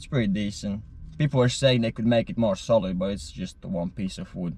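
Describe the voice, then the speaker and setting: The speaker has a non-native accent. Pitch variation is ordinary. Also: man, fairly low pitch for a man. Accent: noticeable non-native. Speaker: van life vlogger. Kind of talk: casual vlog talk. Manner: hesitant, filler words.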